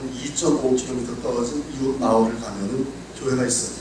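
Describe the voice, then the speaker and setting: A man talks at a moderate pace and a medium pitch. The recording has audible room echo and noticeable background noise. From South Korea, North Chungcheong (Boeun). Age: 60s. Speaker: pastor. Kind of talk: sermon.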